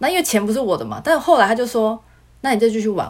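With a Taiwanese accent, a woman talks at a very fast pace, her pitch swinging very widely. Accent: Taiwanese Mandarin. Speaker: former casino worker. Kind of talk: casual interview chat.

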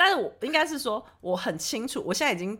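With a Taiwanese accent, a woman talks very fast in an animated tone with lively intonation. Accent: Taiwanese Mandarin. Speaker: podcast host. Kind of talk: casual chat. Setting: remote recording. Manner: fast talker.

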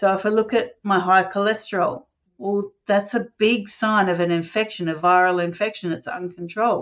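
Here a woman speaks in an Australian accent at a moderate pace. Her pitch is medium and her intonation fairly even. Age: 50s. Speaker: holistic health practitioner. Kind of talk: casual interview.

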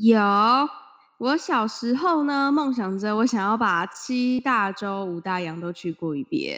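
Against a quiet background, a woman with a fairly high pitch speaks at a very slow pace, her pitch swinging very widely. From Taiwan. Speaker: podcast co-host. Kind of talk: casual chat. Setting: remote Skype recording from home.

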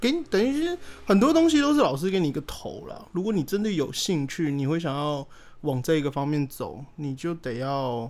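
Recorded very cleanly against a silent background, a man with a fairly high pitch speaks at a moderate pace with lively intonation. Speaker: podcast guest. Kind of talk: casual chat.

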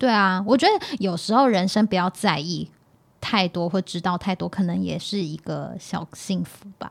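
Animated in tone and showing vocal fry, the voice moves at a moderate pace with ordinary pitch variation. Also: woman, medium pitch for a woman, very clean recording, silent background. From Taiwan, Hakka family. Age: 30s. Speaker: podcast co-host. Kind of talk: casual chat. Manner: animated, laughs often.

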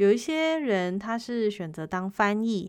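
On a very clean recording with a silent background, a woman speaks in a Taiwanese accent with ordinary pitch variation. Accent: Taiwanese Mandarin. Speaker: podcast host. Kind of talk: casual monologue.

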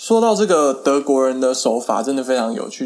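An ordinary speaking voice belongs to a man at a medium pitch, talking at a moderate pace with lively intonation. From Taiwan. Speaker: podcaster. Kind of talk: casual monologue.

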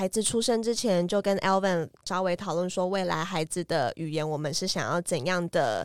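A woman with a Taiwanese accent talks at a moderate pace, her pitch fairly low. She barely pauses, and her pitch varies normally. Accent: Taiwanese Mandarin. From Taiwan, Tainan. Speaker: podcast host. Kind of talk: casual chat. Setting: studio.

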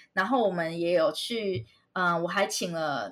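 The pace is moderate. Pitch variation is ordinary. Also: woman. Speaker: children's educator and YouTuber. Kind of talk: interview. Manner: energetic.

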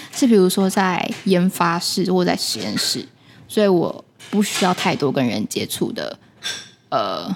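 Speaking at medium pitch, a woman uses lively intonation and some vocal fry. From Taiwan. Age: young. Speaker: podcast co-host, NGO manager. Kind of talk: casual chat. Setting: closed cafe after hours.

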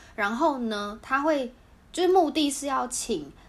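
Amid audible room echo, a woman speaks at a moderate pace with very wide pitch swings. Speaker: podcast co-host. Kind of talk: casual chat.

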